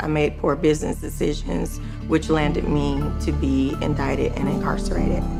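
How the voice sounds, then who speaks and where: A woman talks at a moderate pace over music in the background. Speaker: former surgical nurse, solitary confinement survivor. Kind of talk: documentary narration.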